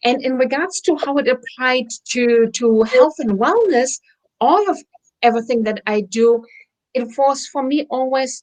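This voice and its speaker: A woman with a German accent, high-pitched, at a moderate pace. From Germany. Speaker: wellness center owner. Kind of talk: interview chat.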